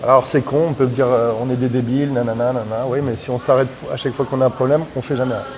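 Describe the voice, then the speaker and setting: A man at a very fast pace, medium in pitch, over noticeable background noise. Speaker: muay thai coach. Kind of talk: casual chat. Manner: loud; animated.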